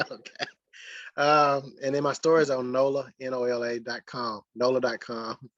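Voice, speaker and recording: Against a quiet background with a dry, close sound and no echo, a medium-pitched man talks at a moderate pace in a monotone with flat intonation. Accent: Mississippi. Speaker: sports writer. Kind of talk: casual interview chat.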